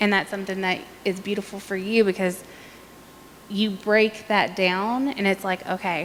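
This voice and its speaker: Speaking with an Appalachian accent, a woman of medium pitch keeps a monotone, flat intonation at a moderate pace. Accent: Appalachian American. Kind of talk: panel discussion.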